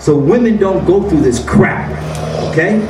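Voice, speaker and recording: A man speaks in an animated tone at a moderate pace, his voice high-pitched with very wide pitch swings, over noticeable background noise and audible room echo. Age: 60s. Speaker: health seminar speaker. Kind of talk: seminar talk. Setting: room with audience.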